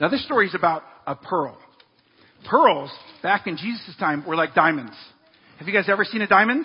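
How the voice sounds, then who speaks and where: Speaking fairly quickly in a high pitch, a man uses lively intonation. Long, frequent pauses break up his speech. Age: 40s. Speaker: pastor. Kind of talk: sermon.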